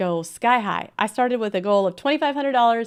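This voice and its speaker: The speaker is a woman. Her recording is very clean, with a silent background. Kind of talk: live stream talk. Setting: live stream. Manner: fast.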